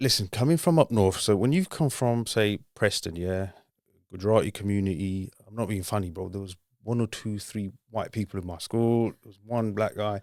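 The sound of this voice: A man speaks at a moderate pace in a fairly low pitch with ordinary pitch variation and a slightly mellow tone, on a very clean recording with a silent background.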